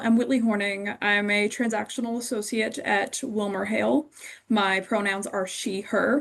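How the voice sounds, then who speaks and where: A woman talks with an American accent. Her pitch varies in an ordinary way. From rural Kentucky, US. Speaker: lawyer, panelist. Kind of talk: panel self-introduction.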